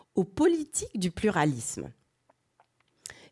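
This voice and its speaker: The woman's pitch swings very widely, captured on a very clean recording with a silent background. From France. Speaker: professor. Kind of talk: lecture. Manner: halting, many hesitations.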